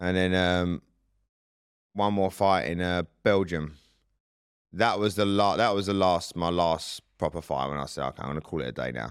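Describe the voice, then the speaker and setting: A man with an English accent talks at a moderate pace in a very deep, low pitch with ordinary pitch variation. Long, frequent pauses come through in a very clean recording with a silent background. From UK. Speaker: Muay Thai coach and ex-fighter. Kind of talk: interview. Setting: studio. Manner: casual.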